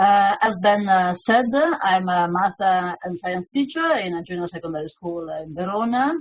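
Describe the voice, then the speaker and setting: A woman with an Italian accent talks at a moderate pace and a medium pitch, her pitch varying in an ordinary way. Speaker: teacher and teacher trainer. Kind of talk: webinar presentation. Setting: online webinar. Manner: halting, many hesitations.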